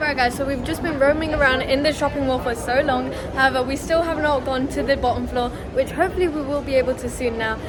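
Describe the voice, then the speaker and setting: Speech races along at a very fast pace with fairly even intonation, set against noticeable background noise and audible room echo. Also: woman, high pitch for a woman. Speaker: travel vlogger. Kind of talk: travel vlog. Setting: hotel room. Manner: quiet indoor voice.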